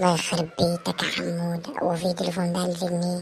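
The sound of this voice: This is a cartoonish character voice that sounds female. It sits at a middle pitch and moves at a fairly quick pace.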